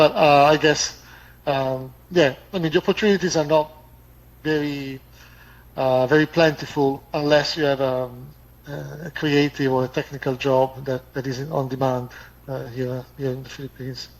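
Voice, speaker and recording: Intonation stays fairly even as a man speaks with an Italian accent. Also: moderate pace. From Italy. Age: 50s. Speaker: expat. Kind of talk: casual chat. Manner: fluent.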